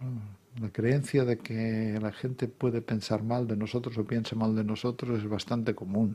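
In a dark, mellow tone, the voice moves at a moderate pace with monotone, flat intonation. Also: man. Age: 60s. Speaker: psychotherapist and author; guest. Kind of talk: radio interview. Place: studio. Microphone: studio mic.

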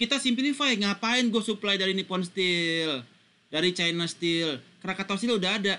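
A man's raised, projected voice rings out at a high pitch with a bright, sharp tone. His intonation is lively. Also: quiet background. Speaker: university lecturer. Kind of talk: lecture.

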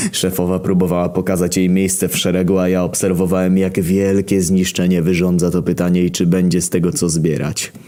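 Over noticeable background noise, a man with a very deep, low pitch talks in a monotone, flat intonation with hardly any pauses. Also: fairly quick pace. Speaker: internet story reader. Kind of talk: comedic first-person story narration.

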